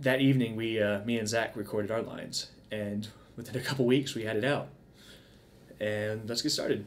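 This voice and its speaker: Speaking at a fairly quick pace, a man keeps his intonation fairly even. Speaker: video creator. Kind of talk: casual commentary intro. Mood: relaxed, smiling. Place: home room.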